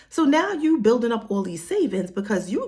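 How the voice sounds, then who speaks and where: A woman with a New York accent and very wide pitch swings. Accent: New York City. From Harlem, New York. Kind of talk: casual talk to camera. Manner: casual, chatty.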